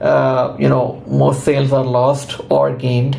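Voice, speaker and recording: A man talks at a fairly slow pace and medium pitch. Room echo and noticeable background noise can be heard. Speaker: conversion optimization consultant. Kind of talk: tutorial.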